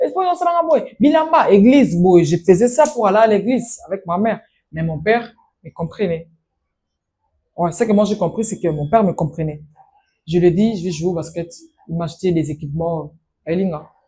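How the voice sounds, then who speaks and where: A woman with a dark, mellow tone speaks at a medium pitch and a moderate pace, her voice somewhat breathy. Her intonation is lively, broken up by long, frequent pauses. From DR Congo, Kinshasa area. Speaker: master of ceremonies. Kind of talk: interview.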